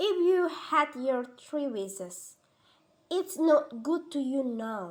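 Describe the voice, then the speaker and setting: A woman puts on a gruff, high-pitched character voice. She speaks at a very slow pace with very wide pitch swings. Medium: read story. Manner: solemn, gruff.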